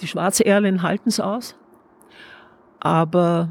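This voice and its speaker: A woman speaks at a very slow pace in a fairly low, somewhat breathy voice. Her intonation stays fairly even. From not Carinthia (moved there as adult). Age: old. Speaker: artist. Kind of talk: guided tour conversation. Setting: at home, walking through house.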